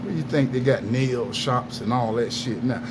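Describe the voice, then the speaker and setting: A man talks in an animated tone. Audible room echo and noticeable background noise surround his voice. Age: 60s. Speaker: wrongfully convicted man speaking out. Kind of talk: angry monologue to camera.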